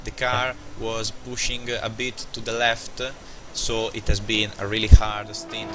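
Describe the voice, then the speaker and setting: The speaker has a non-native accent and fairly even intonation. Noticeable background noise can be heard. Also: man. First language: not English. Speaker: sim racing driver. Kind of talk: post-race interview. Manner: halting.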